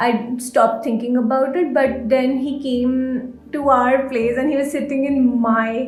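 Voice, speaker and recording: Against noticeable background noise, a woman speaks at a fairly slow pace. Her voice is high, and her intonation stays fairly even. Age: 20s. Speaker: guest sharing personal story. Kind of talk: interview answer.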